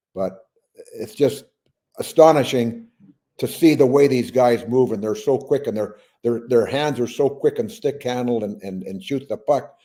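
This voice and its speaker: The voice has a dark, mellow tone, ordinary pitch variation, and a moderate pace. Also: man, medium pitch for a man. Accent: Canadian. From British Columbia, Canada. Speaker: retired hockey player. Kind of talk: interview answer.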